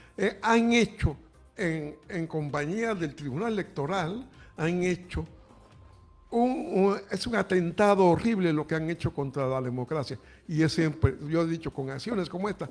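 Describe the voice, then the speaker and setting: A man's fairly high voice with lively intonation at a fairly slow pace, music in the background. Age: 80s+. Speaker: radio commentator. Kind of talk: political commentary.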